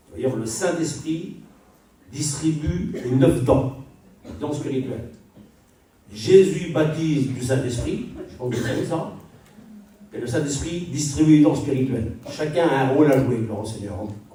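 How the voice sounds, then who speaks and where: With audible room echo and noticeable background noise, a man speaks at a moderate pace and medium pitch, showing ordinary pitch variation, big swings in loudness, and long, frequent pauses. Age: 60s. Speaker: preacher. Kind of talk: sermon.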